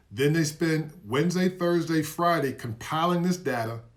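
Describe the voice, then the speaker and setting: Animated in tone, a man with a fairly high pitch talks with ordinary pitch variation in a room with audible echo. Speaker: investing educator. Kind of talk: live stream lecture. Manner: fast.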